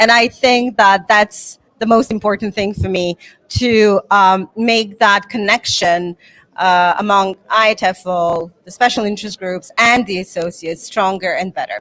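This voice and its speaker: A woman with a Serbo-Croatian accent speaks at a moderate pace and medium pitch. Her intonation is fairly even, and the sound is dry and close with no echo. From Bosnia and Herzegovina. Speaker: English teacher and teachers association president. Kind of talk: interview. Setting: conference.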